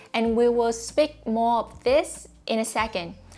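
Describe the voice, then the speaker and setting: A woman with a Vietnamese accent, fairly high in pitch, with ordinary pitch variation. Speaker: YouTuber. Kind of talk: tutorial monologue to camera. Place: home room. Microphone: lapel.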